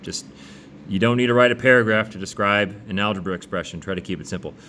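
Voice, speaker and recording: A man talks at a fairly quick pace in a fairly low pitch, with music playing in the background. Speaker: math teacher. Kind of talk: tutorial. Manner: fast; casual, conversational.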